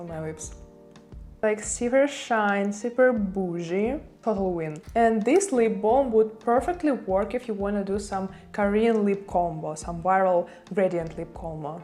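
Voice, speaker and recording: A woman speaks with a non-native accent and a dark, mellow tone. Her pitch variation is ordinary. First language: not English. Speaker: beauty content creator. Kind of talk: unboxing review.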